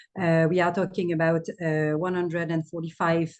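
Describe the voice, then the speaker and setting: Woman with a French accent and a fairly low pitch. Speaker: aid country director. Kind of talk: webinar panel talk. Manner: halting.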